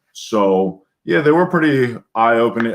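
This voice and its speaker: Here a man speaks at a moderate pace with a medium pitch. His intonation is lively. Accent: American. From US. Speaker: former Greek presidential guard soldier. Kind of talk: interview.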